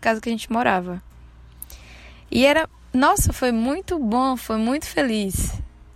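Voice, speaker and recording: With music playing behind her, a woman speaks at a fairly slow pace in a fairly high pitch with lively intonation. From Bahia, Brazil (Santo Antônio de Jesus). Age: 20s. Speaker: podcaster. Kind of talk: personal storytelling monologue. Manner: casual, conversational.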